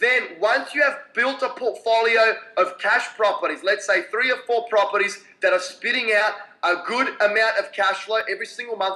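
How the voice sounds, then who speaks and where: In an Australian accent, a man projects a raised, high-pitched voice with a bright, sharp tone. His pace is moderate and his intonation fairly even. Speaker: real estate investor. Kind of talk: Q&A answer.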